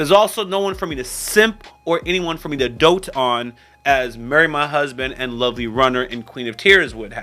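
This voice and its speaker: Lively intonation at a moderate pace over noticeable background noise. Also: man. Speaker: YouTube reviewer. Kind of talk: casual commentary.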